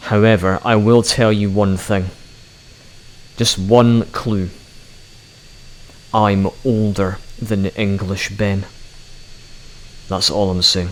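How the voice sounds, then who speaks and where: A man talks at a very slow pace with a fairly low pitch and monotone, flat intonation. Long, frequent pauses break up his speech against noticeable background noise. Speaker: gaming YouTuber. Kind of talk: gameplay commentary.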